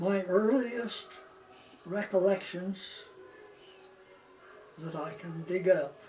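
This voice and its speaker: A man with an American accent and a high pitch speaks at a very slow pace, with long, frequent pauses and ordinary pitch variation. There is noticeable background noise. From Utah, US. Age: 80s+. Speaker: elderly man telling his life story. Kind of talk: oral memoir, casual recollection. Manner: halting, many fillers.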